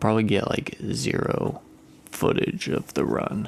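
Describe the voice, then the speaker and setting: A man speaks softly. His pace is moderate. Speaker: music vlogger. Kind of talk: casual vlog. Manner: soft-spoken.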